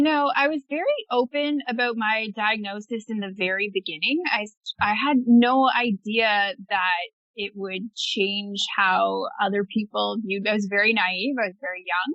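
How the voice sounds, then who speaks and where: A normal speaking voice from a woman, moderate in pace and ordinary in pitch variation. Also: fairly high pitch for a woman. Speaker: blogger living with multiple sclerosis. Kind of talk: podcast interview answer.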